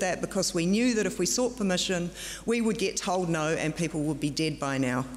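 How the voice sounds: Clear background noise accompanies speech with ordinary pitch variation. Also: woman.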